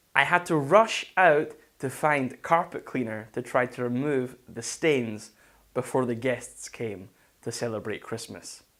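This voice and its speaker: Speaking with a Scottish accent, a man talks at a fairly slow pace with lively intonation. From Scotland, Falkirk. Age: 20s. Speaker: English teacher. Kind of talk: online lesson monologue.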